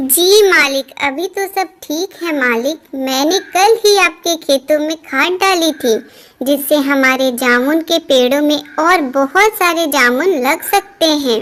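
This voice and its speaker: A woman puts on a cartoonish character voice at a high pitch. She talks at a fairly slow pace with hardly any pauses. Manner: humble, deferential.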